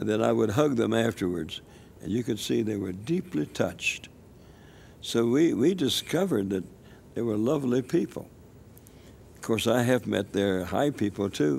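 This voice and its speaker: A man with an American accent and vocal fry speaks at a moderate pace and medium pitch. His pitch swings very widely, broken by long, frequent pauses. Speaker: elderly missionary evangelist. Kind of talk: interview testimony. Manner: halting, with repetitions.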